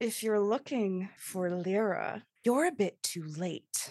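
A female-sounding, growling put-on character voice at a medium pitch, delivered at a fairly slow pace. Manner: growling, menacing; speaking through clenched teeth.

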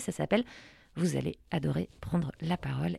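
Heard in a very clean recording with a silent background, a woman speaks with vocal fry at a moderate pace. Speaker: radio host. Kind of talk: radio show. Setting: studio. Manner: playful.

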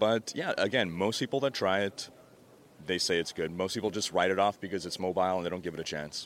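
A man with a very deep, low voice speaks very fast with ordinary pitch variation in a very clean recording with a silent background. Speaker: gaming YouTuber. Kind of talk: casual interview. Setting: at a convention. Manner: YouTuber presenting voice.

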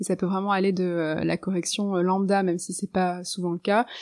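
Over a quiet background, a woman talks at a moderate pace with monotone, flat intonation. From Norway, Lebanon and France. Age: 30s. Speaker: writer and poet. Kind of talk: interview conversation. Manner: hesitant, many fillers.

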